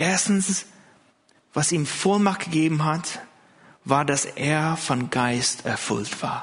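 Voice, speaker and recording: A very slow pace with a non-native accent, ordinary pitch variation, and audible room echo. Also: man. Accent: foreign accent in German. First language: not German (speaking German). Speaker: pastor. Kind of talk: sermon. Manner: hesitant, many fillers.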